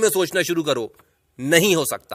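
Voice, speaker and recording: A man's bright, sharp, high-pitched voice, very clean recording with a silent background, dry, close sound with no echo. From India, Hindi-speaking. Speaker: English teacher. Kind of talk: tutorial.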